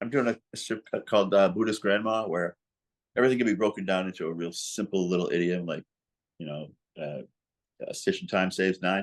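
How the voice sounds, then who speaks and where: A man's fairly low voice with an American accent, ordinary pitch variation, a fairly quick pace and long, frequent pauses, over a quiet background. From Massachusetts, New England (Gloucester). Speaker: cartoonist. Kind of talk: casual interview conversation. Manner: animated.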